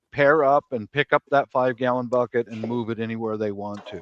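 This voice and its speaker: This man has a plain, everyday voice at a medium pitch, talking at a moderate pace with fairly even intonation in a dry, close sound with no echo. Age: 60s. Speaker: prepper panelist on a live stream. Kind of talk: casual panel chat.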